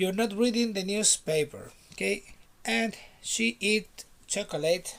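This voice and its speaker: Lively intonation runs through the speech of a man with a Spanish accent. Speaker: English teacher. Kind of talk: online lesson. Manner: repetitive, drilling.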